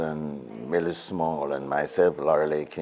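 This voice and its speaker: A man speaks at a fairly slow pace. Noticeable background noise runs behind him. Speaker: veteran reggae and gospel singer. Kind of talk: interview.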